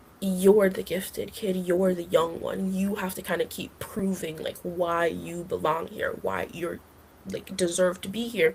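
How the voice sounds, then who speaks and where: A woman at a medium pitch speaks in a flat monotone with vocal fry. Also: fairly slow pace. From Jamaica. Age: 20s. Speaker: recent university graduate. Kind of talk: podcast interview. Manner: casual, filler-heavy (like, um, you know).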